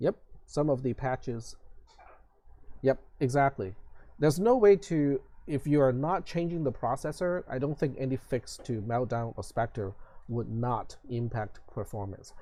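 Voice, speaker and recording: A man in a Cantonese accent, dark and mellow in tone, fairly slow with long, frequent pauses and lively intonation. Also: medium pitch for a man. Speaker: college instructor. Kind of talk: lecture. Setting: online live stream class. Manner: hesitant, many fillers.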